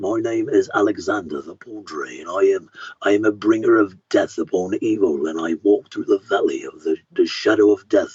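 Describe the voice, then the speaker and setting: A man adopts a put-on character voice and delivers his lines at a moderate pace. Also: hardly any pauses. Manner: grim, menacing.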